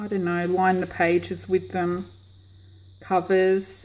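A woman's dark, mellow tone at a very slow pace. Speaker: craft seller. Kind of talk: casual vlog chat. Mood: chatty, warm. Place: garage. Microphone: camera far.

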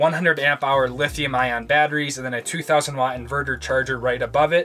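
Faint background music behind a man talking at a moderate pace. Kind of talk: casual vlog tour explanation. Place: car. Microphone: phone near.

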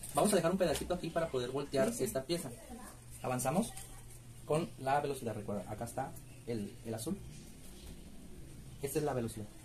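Music plays in the background as a man talks at a fairly quick pace. His intonation is lively, broken by long, frequent pauses. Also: medium pitch for a man. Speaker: sewing machine instructor. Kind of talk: sewing machine demonstration. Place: workshop. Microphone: phone near.

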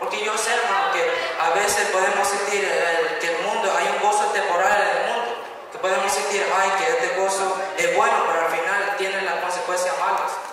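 A man projects a raised voice at a moderate pace with ordinary pitch variation. There is strong room echo and light background noise. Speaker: youth preacher. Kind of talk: sermon. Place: church.

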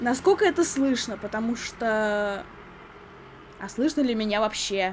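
A woman at a very slow pace with lively intonation, over light background noise. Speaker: YouTuber. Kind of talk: product review. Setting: home recording. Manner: animated. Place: home room.

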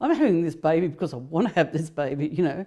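A woman's dark, mellow voice in an Australian accent, over a quiet background. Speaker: mother of survivor. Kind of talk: interview. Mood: grave, recounting abuse. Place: home room.

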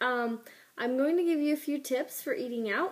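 Over a quiet background, a woman talks at a high pitch. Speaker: health vlogger. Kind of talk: casual vlog tips. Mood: calm, friendly. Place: home room. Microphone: phone near.

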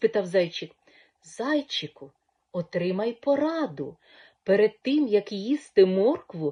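This is a natural reading voice with lively intonation. Behind it the background stays quiet.

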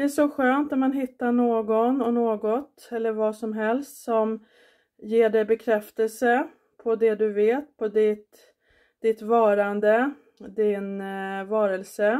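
A woman's fairly high, gentle voice with a dark, mellow tone, fairly even intonation and a very slow pace against a quiet background. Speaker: vlogger. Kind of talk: guided meditation; casual vlog. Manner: soft, warm, unhurried; gentle, encouraging, instructing the listener step by step. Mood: calm, warm, grateful. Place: kitchen. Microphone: phone near.

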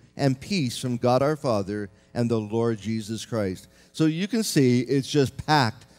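A man speaks with faint music in the background. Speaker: pastor. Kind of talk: sermon. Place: church. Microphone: podium.

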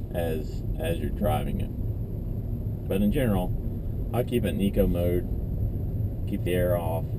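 A man speaks at a very slow pace with noticeable background noise. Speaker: car owner reviewing his car. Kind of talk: casual review while driving. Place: car. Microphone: camera far.

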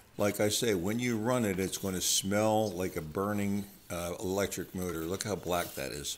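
With fairly even intonation, a man speaks in an ordinary speaking voice at a fairly low pitch. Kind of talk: tutorial. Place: workshop. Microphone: phone near.

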